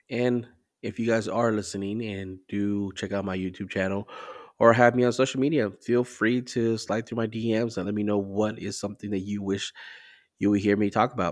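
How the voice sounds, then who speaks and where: Against a silent background in a very clean recording, a man with an ordinary speaking voice talks at a moderate pace, fairly low in pitch with fairly even intonation. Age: 30s. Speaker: podcast host. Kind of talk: solo monologue. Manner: casual, conversational.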